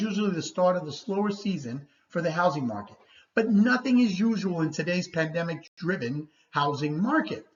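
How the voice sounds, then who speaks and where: Somewhat breathy and animated, a woman speaks at a fairly low pitch with very wide pitch swings. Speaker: real estate agent. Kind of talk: market report presentation. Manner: fast.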